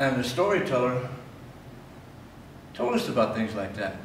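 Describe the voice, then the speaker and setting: Speaking with an American accent, a man is heard with audible room echo and noticeable background noise. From US Midwest, northeast Nebraska. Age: 60s. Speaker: painter. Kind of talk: interview.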